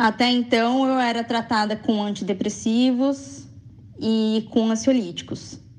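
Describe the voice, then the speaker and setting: Somewhat breathy and fairly high in pitch, a woman speaks at a fairly slow pace with ordinary pitch variation. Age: 20s. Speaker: radio contributor on bipolar disorder. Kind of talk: personal testimony and informative talk.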